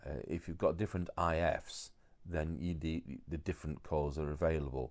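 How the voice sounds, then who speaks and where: A man's very deep, low pitch with vocal fry, fairly even intonation and a moderate pace, on a very clean recording with a silent background. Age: 60s. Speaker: radio repair technician. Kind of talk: tutorial. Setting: overdubbed voiceover. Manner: casual, hesitant with fillers.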